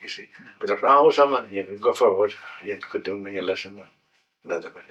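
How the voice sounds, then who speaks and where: A man speaks at a very fast pace in a Scottish Highland accent. His loudness swings widely. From Scotland, Highlands (Golspie). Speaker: war veteran. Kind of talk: interview. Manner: halting.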